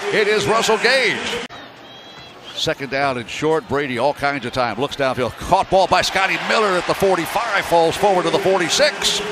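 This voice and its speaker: High-pitched male voice with very wide pitch swings, a dry sound with no echo and noticeable background noise. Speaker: radio sports commentator. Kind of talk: live radio play-by-play. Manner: fast, energetic. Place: booth.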